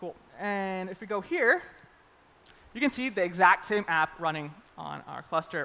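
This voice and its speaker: A man uses a raised, projected voice, high in pitch with a bright, sharp tone. His loudness swings widely, and he takes long, frequent pauses. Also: ordinary pitch variation. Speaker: developer advocate giving a conference talk. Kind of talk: live coding demo talk. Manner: fast; casual, upbeat.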